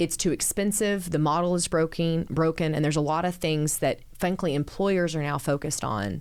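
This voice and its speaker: A woman with a Texan accent talks at a fairly quick pace in a fairly low pitch, with ordinary pitch variation and very even loudness, on a very clean recording with a silent background. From Central Texas (small town). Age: 40s. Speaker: city mayor. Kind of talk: podcast interview.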